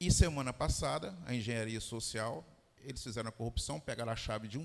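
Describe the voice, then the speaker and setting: A man with vocal fry talks at a moderate pace, his pitch swinging very widely. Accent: Goiás. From Brazil, Goiás. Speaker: fintech executive. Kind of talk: panel discussion.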